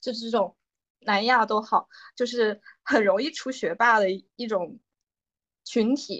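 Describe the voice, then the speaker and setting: Fairly slow, fairly high-pitched speech from a woman. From China. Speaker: podcast co-host, drama recommender. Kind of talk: casual chat.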